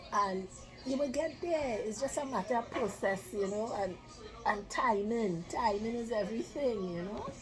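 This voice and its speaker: Over background music and audible room echo, a woman with a fairly high pitch speaks at a moderate pace with lively intonation. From Trinidad, San Fernando. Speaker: nutrition advice guest. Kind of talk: casual interview chat.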